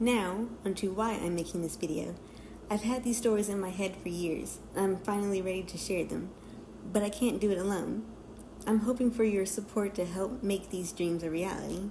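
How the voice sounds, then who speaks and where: A woman speaks at a moderate pace with a shaky voice. Room echo is audible. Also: medium pitch for a woman, fairly even intonation. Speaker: digital artist. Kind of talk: scripted narration. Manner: reading from a script.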